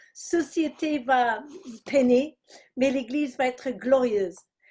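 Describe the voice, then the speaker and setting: A woman with an English accent speaks at a high pitch with ordinary pitch variation. The recording is very clean, with a silent background. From England. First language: English (speaking French). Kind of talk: testimony.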